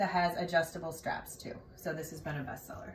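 Light background noise and audible room echo surround a woman as she speaks. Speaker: presenter. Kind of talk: product showcase talk. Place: empty room.

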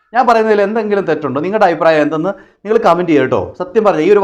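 A man speaks in a high voice with ordinary pitch variation. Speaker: vlogger commenting on news. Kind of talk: opinion monologue.

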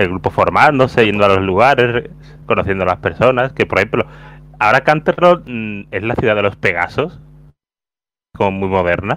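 A man's fairly low voice at a moderate pace, lively in intonation, with long, frequent pauses and a dry sound free of echo. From Spain. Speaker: podcast co-host. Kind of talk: casual chat.

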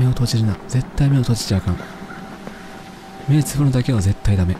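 Pitch varies in an ordinary way, and the dry sound has no echo but noticeable background noise. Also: man, fairly quick pace. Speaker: virtual streamer. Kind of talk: horror game live stream commentary. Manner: frightened, weak, whimpering. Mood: scared, nervous.

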